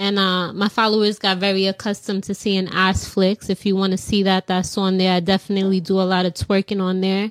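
A woman with an ordinary speaking voice at medium pitch, talking fairly quickly on a very clean recording with a silent background. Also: dry, close sound with no echo. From New York City. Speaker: content creator.

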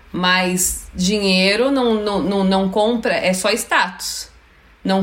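A woman with a São Paulo accent uses fairly even intonation, heard through noticeable background noise and audible room echo. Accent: Brazilian Portuguese, São Paulo. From São Paulo, Brazil (Freguesia do Ó). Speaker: YouTuber. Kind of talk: casual chat.

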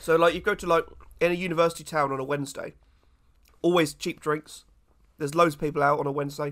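This man talks at a very fast pace in a fairly high pitch with monotone, flat intonation, broken by long, frequent pauses. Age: 20s. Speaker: podcast co-host. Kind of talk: casual chat.

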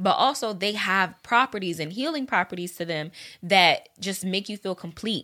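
A woman's medium-pitched voice with a bright, sharp tone, a moderate pace and ordinary pitch variation. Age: 30s. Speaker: podcast co-host. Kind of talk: casual chat.

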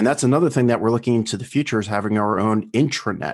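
Against a quiet background, a man with an American accent and an ordinary speaking voice talks at medium pitch with ordinary pitch variation. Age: 50s. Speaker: founder of a private towns project and podcast host. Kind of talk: interview conversation.

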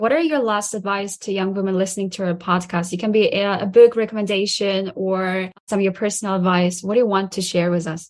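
With an unremarkable speaking voice, the speaker goes at a fairly quick pace with hardly any pauses and fairly even intonation. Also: woman. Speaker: podcast host. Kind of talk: scripted intro then interview chat.

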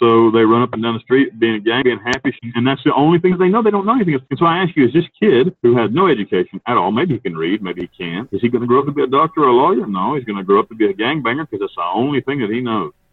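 At a very fast pace, a man with an Appalachian accent and medium pitch makes very wide pitch swings. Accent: Appalachian US Southern. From North Carolina mountains. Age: 40s. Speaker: prison inmate, ex-hitman. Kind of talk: interview.

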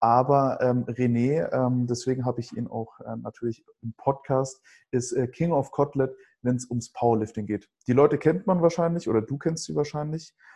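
Somewhat breathy, a man talks at a moderate pace with a medium pitch and ordinary pitch variation. His tone is dark and mellow. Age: 20s. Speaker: podcast host and event presenter. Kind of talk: casual chat.

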